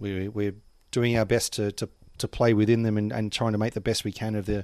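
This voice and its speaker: A man speaks with an Australian accent at a fairly low pitch and with fairly even intonation. The recording is very clean, with a silent background. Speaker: cricket administrator. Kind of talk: casual chat. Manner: fast.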